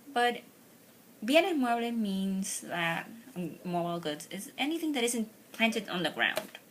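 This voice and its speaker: A woman speaks at a fairly slow pace with a Spanish accent, her fairly high voice making very wide pitch swings. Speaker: law student YouTuber. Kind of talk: tutorial. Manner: halting.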